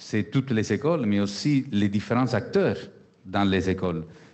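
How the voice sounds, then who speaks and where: A man speaks at a medium pitch with a slight Italian accent. His intonation is lively. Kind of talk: panel discussion.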